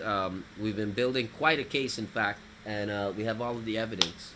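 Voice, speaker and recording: Speaking at a moderate pace, a man uses medium pitch and fairly even intonation. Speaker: talk show host. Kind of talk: live talk show. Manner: loud.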